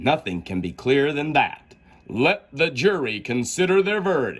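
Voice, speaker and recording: A man's put-on character voice, fairly high in pitch, with very wide pitch swings. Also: moderate pace. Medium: read story. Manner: pompous, commanding.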